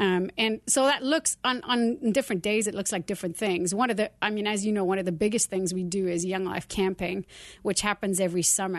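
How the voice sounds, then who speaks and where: A woman talks at a very fast pace with ordinary pitch variation. The background is quiet. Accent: South African. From South Africa. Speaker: youth ministry leader. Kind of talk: casual interview. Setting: studio.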